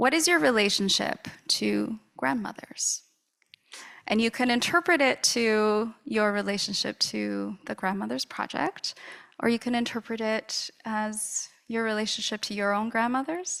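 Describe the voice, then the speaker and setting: The speaker moves at a fairly slow pace. The intonation is lively. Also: woman, fairly high pitch for a woman. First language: not English. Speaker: panel moderator. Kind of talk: moderated panel discussion. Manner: halting.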